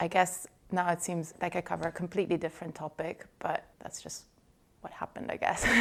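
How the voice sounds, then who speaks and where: A woman with an American accent talks fairly quickly at a fairly low pitch, her intonation monotone and flat and her loudness swinging widely. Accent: slight Italian with American tinge. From Italy. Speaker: journalist. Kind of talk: podcast interview.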